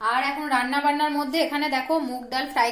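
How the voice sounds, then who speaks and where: A woman speaks in a high voice. There is audible echo in the room. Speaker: home cook vlogger. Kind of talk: casual vlog chat. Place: kitchen. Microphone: phone near.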